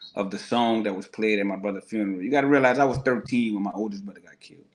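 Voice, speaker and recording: A New Orleans accent at a fairly quick pace with fairly even intonation. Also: man. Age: 40s. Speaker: guest. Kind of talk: testimony.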